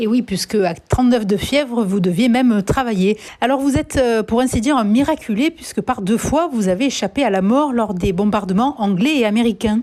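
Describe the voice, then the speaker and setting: With ordinary pitch variation, the speech moves at a moderate pace in a dark, mellow tone. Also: woman, fairly high pitch for a woman. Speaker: radio journalist. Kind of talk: radio interview questions.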